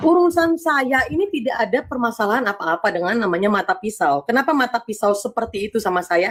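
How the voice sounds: With lively intonation and a fairly high pitch, a woman talks at a fast pace.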